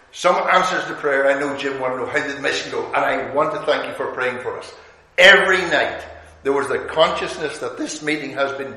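A man's fairly quick speech with audible room echo. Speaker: visiting preacher. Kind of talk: sermon. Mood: warm, good humoured. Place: hall.

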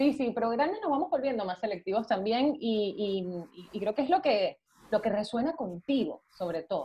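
Speaking at a moderate pace, a woman uses a fairly high pitch with very wide pitch swings. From Venezuela. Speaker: actress. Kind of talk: casual chat. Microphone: video call.

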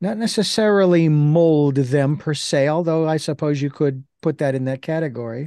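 A man's dark, mellow voice at a fairly high pitch for a man, ordinary pitch variation, moderate pace and hardly any pauses, dry with no echo against a quiet background. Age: 60s. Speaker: podcast interview host; show host. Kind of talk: interview. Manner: halting, many fillers. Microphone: video call.

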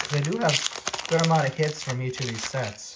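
The speech moves at a very fast pace over loud background noise. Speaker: Pokemon card YouTuber. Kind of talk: casual video, opening card packs. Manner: casual, chatty, animated. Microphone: phone near.

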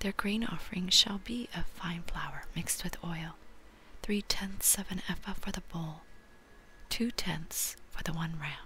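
A woman whispering in a gentle tone at a fairly slow pace. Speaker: scripture reader. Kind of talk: scripture reading and teaching. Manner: gentle, very soft-spoken reading. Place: home room. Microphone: webcam.

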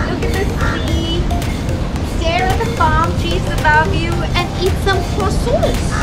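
Over clear background music, a woman speaks at a fairly slow pace. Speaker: travel vlogger. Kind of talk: casual vlog chat. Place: garden.

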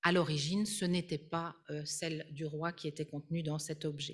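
The somewhat breathy voice moves at a fairly slow pace. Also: woman. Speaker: art history professor and Egyptologist. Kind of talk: lecture. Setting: conference hall with audience and Zoom.

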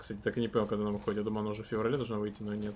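A man is talking here. Noticeable background noise sits behind his voice. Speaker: game streamer. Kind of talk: live gameplay stream commentary with chat; casual gameplay commentary. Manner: casual, filler-heavy with repetitions. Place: home room.

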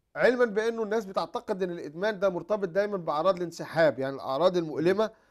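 The background stays quiet. The speaker is a man. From Egypt. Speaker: psychiatrist and addiction expert. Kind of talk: TV talk show interview. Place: studio. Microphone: lapel.

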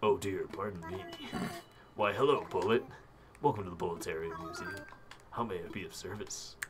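Using a put-on character voice, a man talks at a fairly low pitch and a fairly quick pace against clear background noise. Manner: polite, flustered, silly.

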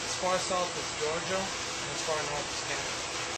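A man's speech competes with heavy noise behind him. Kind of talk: interview answer.

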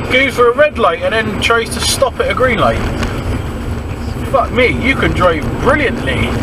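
Loud background noise sits behind a man with a Bristol accent. He talks at a moderate pace, leaving long, frequent pauses. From Bristol, England. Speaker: driver commenting on other drivers. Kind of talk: casual dash cam commentary. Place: car.

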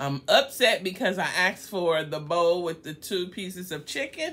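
A woman's fairly low-pitched voice shows ordinary pitch variation as she talks at a fairly slow pace. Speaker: food vlogger. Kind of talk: casual vlog chat. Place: home room. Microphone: phone near.

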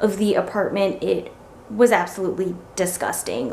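A woman's voice with audible room echo. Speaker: lifestyle vlogger. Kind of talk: casual vlog chat. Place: home room. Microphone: phone near.

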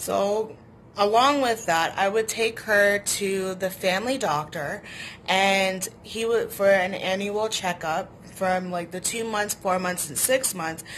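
A very slow-paced woman's voice at medium pitch with ordinary pitch variation, over light background noise. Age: 20s. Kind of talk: personal story vlog. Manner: hesitant with frequent fillers. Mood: earnest, personal, somewhat sad. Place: home room. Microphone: phone near.

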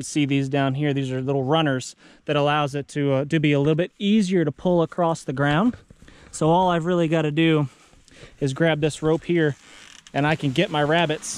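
The man's fairly even intonation and moderate pace come through in a dry sound with no echo. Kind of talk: tutorial. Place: open country. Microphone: phone near.

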